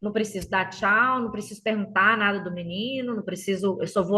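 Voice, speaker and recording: A woman with a Minas Gerais accent speaks at a fairly quick pace, her medium pitch held in fairly even intonation over noticeable background noise. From Minas Gerais, Brazil. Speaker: teacher. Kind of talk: podcast interview answer. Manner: chatty, hesitant.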